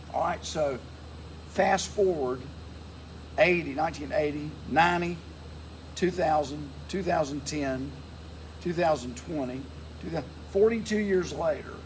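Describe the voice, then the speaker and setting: The speech comes at a fairly slow pace with long, frequent pauses and audible room echo. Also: man. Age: 60s. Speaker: interviewer, pilot's nephew. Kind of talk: casual interview chat. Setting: outdoors at an airfield beside a plane.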